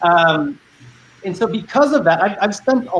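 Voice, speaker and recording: A man with lively intonation keeps a moderate pace while noticeable background noise carries on around him. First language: Spanish. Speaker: panelist. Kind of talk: panel discussion.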